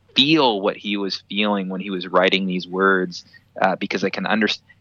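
A man speaks at a fairly low pitch and moderate pace with fairly even intonation. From Canada, British Columbia. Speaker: staff member of a Bible ministry. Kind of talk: casual interview. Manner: hesitant, many fillers.

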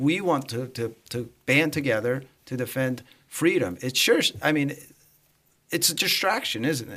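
A man's voice has a bright, sharp tone and ordinary pitch variation. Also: medium pitch for a man, moderate pace. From Romania. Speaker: podcast host, communications director. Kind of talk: casual panel discussion.

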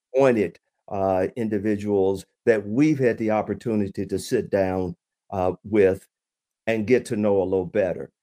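Dry and close with no echo, a man's dark, mellow voice sits at a fairly low pitch, moving at a moderate pace with ordinary pitch variation. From Chattanooga, Tennessee. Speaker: podcast host and former state representative. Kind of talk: casual chat. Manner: halting.

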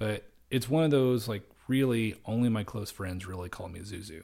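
A man speaks somewhat breathily with ordinary pitch variation. The recording is very clean, with a silent background. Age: 30s. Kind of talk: solo monologue. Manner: hesitant, many fillers.

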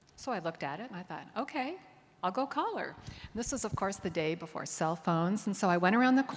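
A woman with an American accent speaks at a fairly quick pace, using a normal speaking voice at medium pitch with lively intonation. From US Northeast, Connecticut suburbs of New York. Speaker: dance historian and professor. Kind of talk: onstage interview. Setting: stage with audience.

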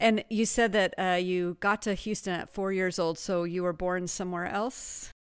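With an ordinary speaking voice, a woman speaks at a moderate pace and medium pitch, using fairly even intonation and hardly any pauses. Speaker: podcast host. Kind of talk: interview, conversational.

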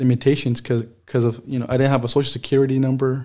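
A man talks with an American accent at a medium pitch. His tone is dark and mellow, and his pace is fairly quick. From Mexico. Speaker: dairy farm worker. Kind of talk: interview. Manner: halting.

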